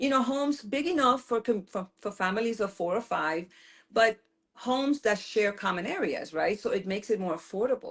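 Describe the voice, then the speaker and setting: A woman with an American accent talks at a fairly quick pace with lively intonation. Hers is an unremarkable speaking voice. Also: fairly high pitch for a woman. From US Virgin Islands, St. Croix. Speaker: political candidate. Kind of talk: interview.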